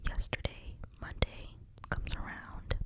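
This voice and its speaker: Whispering at a very slow pace in a sad tone, a man speaks over noticeable background noise. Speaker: ASMR creator. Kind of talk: whisper ramble to camera. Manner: whispered, soft-spoken, sad.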